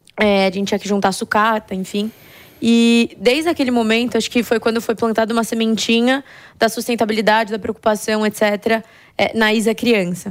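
A woman with an ordinary speaking voice and a fairly high pitch talks at a moderate pace with fairly even intonation. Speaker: company founder and CEO. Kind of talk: interview.

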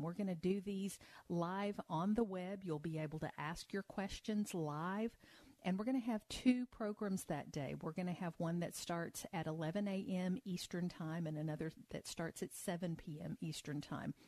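Her tone is dark and mellow. The woman's pitch sits in the medium range. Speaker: financial advisor. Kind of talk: radio call-in advice show. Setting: studio.

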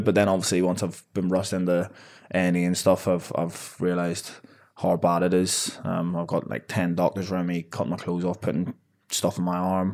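This man talks at a fairly quick pace. His pitch is very deep and low. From Northern Ireland. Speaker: professional boxer. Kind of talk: casual interview. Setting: in-person studio recording.

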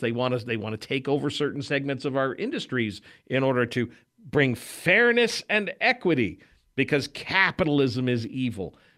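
Heard in a very clean recording with a silent background, a man with an ordinary speaking voice and a medium pitch talks at a moderate pace with lively intonation. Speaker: talk radio host. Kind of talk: live talk radio: opinionated, conversational political patter with station ID. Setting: studio. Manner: brisk, confident, mocking and sarcastic, hosty.

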